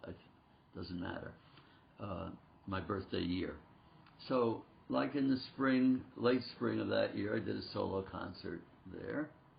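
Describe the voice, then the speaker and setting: A man with a very deep, low pitch speaks fairly slowly and somewhat breathily, his pitch swinging very widely between long, frequent pauses. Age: 80s+. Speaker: concert pianist and piano teacher. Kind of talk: interview.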